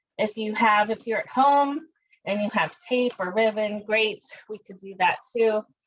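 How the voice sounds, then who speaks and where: At a fairly high pitch with ordinary pitch variation, a woman talks in an ordinary speaking voice. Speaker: art teacher. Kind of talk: tutorial.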